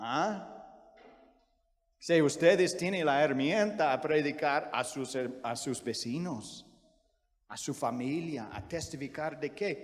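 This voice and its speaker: Speaking very slowly with long, frequent pauses, a man with an American accent uses a fairly high pitch and ordinary pitch variation, with audible room echo around him. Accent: American accent in Spanish, non-native. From US, Virginia. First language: English (speaking Spanish). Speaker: missionary preacher. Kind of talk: sermon. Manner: halting, frequent self-corrections.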